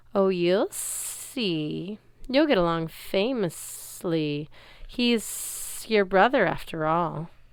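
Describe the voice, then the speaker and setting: A woman's put-on character voice, medium in pitch and hissing, at a very slow pace. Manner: teasing, sly.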